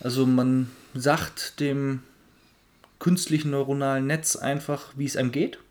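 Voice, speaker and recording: Using a fairly high pitch, a man speaks fairly slowly in a monotone, flat way, with long, frequent pauses. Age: 30s. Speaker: podcast co-host, tech founder. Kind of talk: casual chat.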